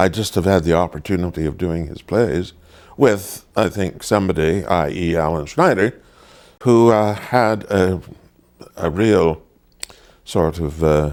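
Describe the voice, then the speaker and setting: Man with a very deep, low pitch and ordinary variation, at a fairly slow pace with long, frequent pauses. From Ontario, Canada. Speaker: stage actor. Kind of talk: interview. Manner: halting.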